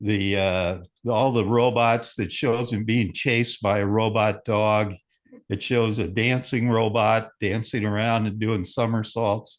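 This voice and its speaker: With a quiet background, a man talks at a fairly low pitch and fairly slow pace, his intonation monotone and flat and his loudness very even. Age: 80s+. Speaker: ham radio operator and show panelist. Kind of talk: casual chat.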